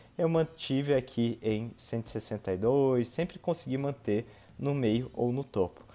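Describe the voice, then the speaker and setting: In a dark, mellow tone, a man talks at a very slow pace with ordinary pitch variation. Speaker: triathlete vlogger; amateur triathlete vlogger. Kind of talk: casual vlog narration. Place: home room. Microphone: webcam.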